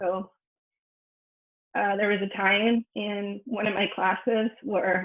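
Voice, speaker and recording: Speaking with fairly even intonation at a medium pitch, a woman talks in a Spanish accent. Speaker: scientist. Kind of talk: lecture. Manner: hesitant, with frequent fillers.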